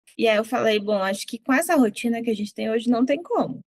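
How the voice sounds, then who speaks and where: A woman speaks at a high pitch with a southern Brazilian accent. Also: dry, close sound with no echo. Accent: southern Brazilian accent, kept. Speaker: psychologist. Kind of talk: interview.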